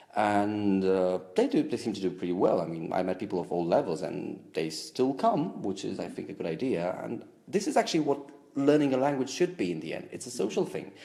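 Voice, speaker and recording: A man's fairly low, dark, mellow voice with a Romanian accent, very wide pitch swings and a fairly quick pace. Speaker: language enthusiast. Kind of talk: interview answer.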